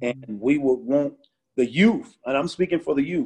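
At a fairly quick pace, a man with an American accent and medium pitch talks with ordinary pitch variation in an unremarkable speaking voice. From Chicago and Phoenix. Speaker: community outreach worker. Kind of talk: testimony.

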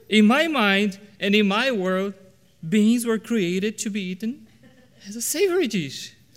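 Using a high pitch and ordinary pitch variation, a man speaks at a fairly slow pace. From Brazil. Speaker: preacher. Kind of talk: sermon. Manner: halting.

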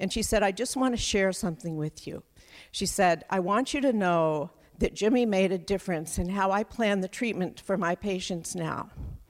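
A woman with a normal speaking voice at medium pitch and moderate pace, with ordinary pitch variation, in a very clean recording with a silent background. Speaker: storyteller. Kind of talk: personal storytelling. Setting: stage with audience. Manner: measured, sincere.

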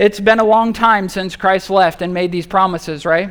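Someone reads in an unforced reading voice. The text is delivered aloud.

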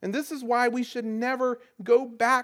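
A very slow pace in a Southern US accent, on a very clean recording with a silent background. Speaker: pastor. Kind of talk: sermon.

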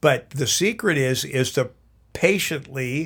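Over a silent background in a very clean recording, a man talks at a very slow pace. His voice is fairly high, with ordinary pitch variation. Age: 70s. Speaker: pastor to adults. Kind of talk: casual chat.

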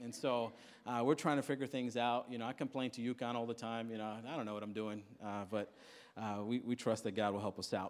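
A man with an American accent talks in an ordinary speaking voice at a medium pitch and a moderate pace. The recording is very clean, with a silent background. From Queens, New York. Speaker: pastor. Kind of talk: sermon.

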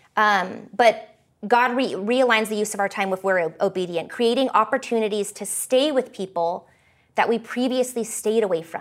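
Speaking at a moderate pace, a woman with an American accent has a fairly high pitch and ordinary pitch variation, recorded very cleanly over a silent background. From California and Canada. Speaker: pastor. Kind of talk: sermon. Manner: halting.

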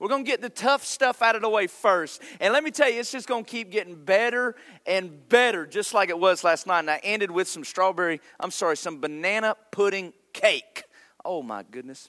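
An American man speaks in an animated, raised and projected voice with a bright, sharp tone, high pitch, lively intonation and a fairly quick pace, on a very clean recording with a silent background. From North Carolina. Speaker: pastor. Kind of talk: sermon. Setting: church.

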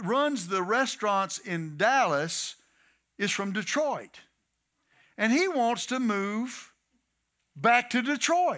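A man with a Texan accent speaks in a raised, projected voice at an extremely high pitch, with a bright, sharp tone and very wide pitch swings. His pace is very slow, broken by long, frequent pauses, in a very clean recording with a silent background. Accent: Texan Southern US. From Texas. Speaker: guest preacher. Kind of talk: sermon. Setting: church.

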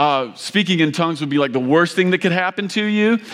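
A man with a Kentucky accent speaks loudly in a high voice, with ordinary pitch variation. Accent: Kentucky Southern US. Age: 40s. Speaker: pastor. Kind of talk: sermon. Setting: church with audience.

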